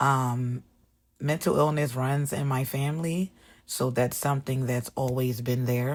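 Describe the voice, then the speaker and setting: Against a silent background in a very clean recording, a woman speaks with a very deep, low pitch. Her pace is fairly slow. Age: 30s. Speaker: vlogger. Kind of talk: casual vlog, personal get-to-know-me talk. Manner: casual, with frequent fillers.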